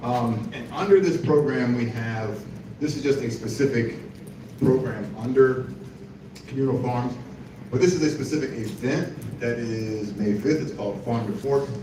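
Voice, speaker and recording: Amid noticeable background noise and audible room echo, a man with a medium pitch talks at a moderate pace with ordinary pitch variation. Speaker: parks department official giving a presentation. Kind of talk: presentation.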